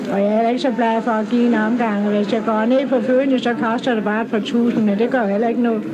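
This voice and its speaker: A woman talks with monotone, flat intonation. Crowd noise sits in the background, and the room echo is audible. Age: 60s. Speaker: pub owner. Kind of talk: interview. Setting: outdoors at a town square.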